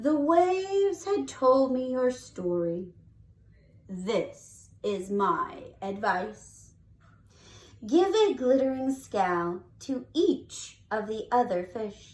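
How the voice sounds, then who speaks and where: In a put-on character voice, the speaker goes at a very slow pace with a fairly high pitch and very wide pitch swings. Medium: read story. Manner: slow, solemn.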